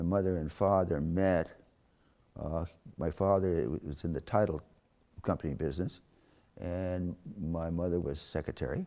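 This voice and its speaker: A man with an American accent talks at a moderate pace in a very deep, low pitch and a dark, mellow tone. His intonation stays fairly even, with long, frequent pauses. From Northern California, Oakland. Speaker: interviewee recounting life story. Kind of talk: oral history interview. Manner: halting.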